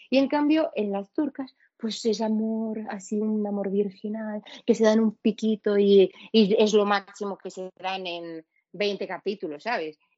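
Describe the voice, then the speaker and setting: The voice moves at a fairly slow pace with ordinary pitch variation. Its loudness swings widely. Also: woman, fairly high pitch for a woman. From Venezuela. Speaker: podcast guest. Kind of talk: casual chat.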